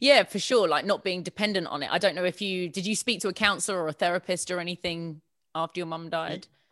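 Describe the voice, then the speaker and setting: A woman talks very fast with ordinary pitch variation. The recording is very clean and silent in the background, with a dry, close sound and no echo. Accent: southern English. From southern England. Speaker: podcast host. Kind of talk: casual interview.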